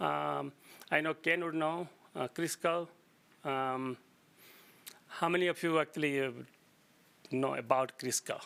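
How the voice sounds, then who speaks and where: With an Indian accent, a man speaks at a moderate pace. His voice is fairly high-pitched, with a bright, sharp tone. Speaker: geologist. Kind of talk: lecture. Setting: meeting room with audience. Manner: halting, many fillers and restarts.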